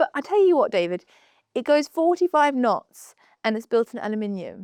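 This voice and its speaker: A woman with a British accent talks at a moderate pace in a high voice with very wide pitch swings. The very clean recording has a silent background and a dry, close sound with no echo. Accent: clear British, like British news. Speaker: yachting presenter. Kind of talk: casual chat.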